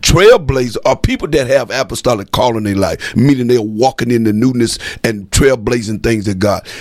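An animated tone at a fairly quick pace. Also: man. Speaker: radio host and apostle. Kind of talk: religious radio talk show. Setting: studio.

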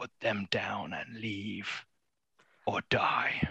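Putting on a raspy character voice, a man speaks in a fairly low pitch. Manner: menacing, imperious.

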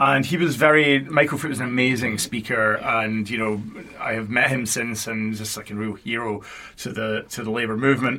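Noticeable background noise sits behind a man with a Scottish accent. He talks at a fairly quick pace with medium pitch and fairly even intonation. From Scotland, Paisley near Glasgow. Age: 40s. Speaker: university communications executive. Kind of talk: interview.

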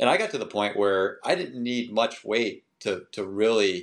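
A man with an American accent has an unremarkable speaking voice, fairly low in pitch with fairly even intonation. He keeps a moderate pace over a quiet background. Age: 60s. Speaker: masters runner. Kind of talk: interview.

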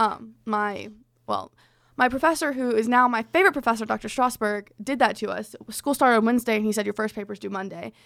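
A woman speaks in a normal speaking voice, fairly high in pitch with ordinary pitch variation. She talks at a fairly quick pace on a very clean recording with a silent background. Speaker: college radio podcast co-host. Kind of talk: casual chat.

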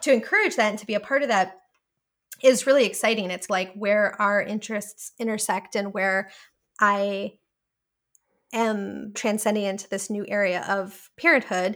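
A woman with an ordinary speaking voice at medium pitch, moderate pace, and an American accent. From US Midwest, Milwaukee, Wisconsin. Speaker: tech program manager. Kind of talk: interview.

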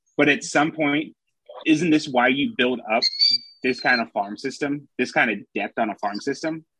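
This man has an ordinary speaking voice, fairly high in pitch, with lively intonation and a moderate pace. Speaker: baseball writer and podcast co-host. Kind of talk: casual chat. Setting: video call.

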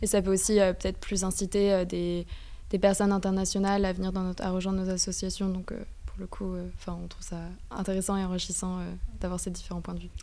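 A woman talks at a fairly quick pace in a dark, mellow tone, her intonation monotone and flat. Her loudness swings widely, and room echo is audible. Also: medium pitch for a woman. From France. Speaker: student association co-president. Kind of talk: radio interview. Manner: halting.

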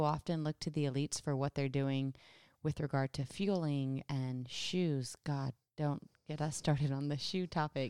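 Soft-spoken and very deep, low in pitch, a woman with a dark, mellow tone speaks at a moderate pace in a dry, close sound with no echo on a very clean recording with a silent background. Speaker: co-host, runner. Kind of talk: casual chat podcast.

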